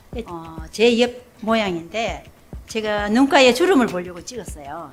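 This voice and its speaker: Noticeable background noise surrounds a woman speaking with a fairly high pitch. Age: 70s. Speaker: senior model. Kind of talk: interview answer.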